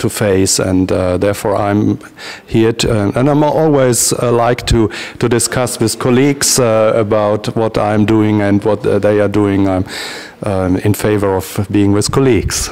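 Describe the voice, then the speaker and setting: A man with a German accent speaks at a fairly slow pace, using a fairly low pitch and fairly even intonation. Noticeable background noise is audible. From Germany. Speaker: transactional analysis practitioner. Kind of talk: interview. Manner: halting, many hesitations.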